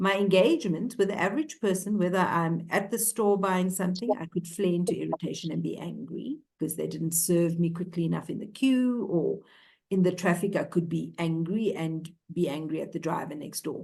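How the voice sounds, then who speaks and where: Somewhat breathy and fairly low-pitched, a woman talks at a fairly quick pace with ordinary pitch variation. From South Africa, Cape Town. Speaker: ontological coach. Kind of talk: interview conversation.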